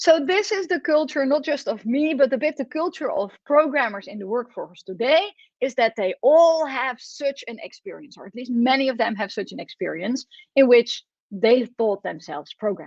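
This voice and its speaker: Speaking with a Dutch accent at a moderate pace, a woman uses a high pitch, lively intonation and big swings in loudness, in a dry, close sound with no echo. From Netherlands. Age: 40s. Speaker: professor. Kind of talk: lecture.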